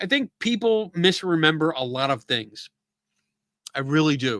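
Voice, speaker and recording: A man at a fairly high pitch, with very wide pitch swings and a moderate pace. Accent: Philadelphia. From Philadelphia area, US. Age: 50s. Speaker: live-stream talk show host. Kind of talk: casual live-stream chat answering viewer comments. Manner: casual, filler-heavy.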